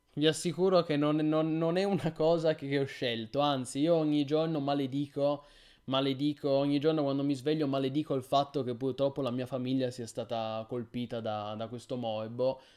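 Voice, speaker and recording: A man's fairly even intonation and moderate pace come through over a quiet background. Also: fairly high pitch for a man. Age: 30s. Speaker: gaming streamer. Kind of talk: live stream chat. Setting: live stream. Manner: halting. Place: home room.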